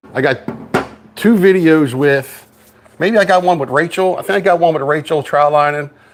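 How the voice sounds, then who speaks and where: A man with a fairly high voice speaks at a moderate pace with ordinary pitch variation. He takes long, frequent pauses, and there is noticeable background noise. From Dundalk, Maryland. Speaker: outdoor YouTuber, crabber. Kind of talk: casual livestream chat. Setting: garage livestream.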